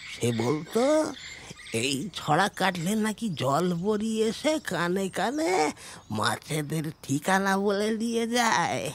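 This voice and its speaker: A man puts on a character voice, pitched high for a man, with clear background noise. He speaks at a very slow pace. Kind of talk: audio drama dialogue. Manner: halting, breathless.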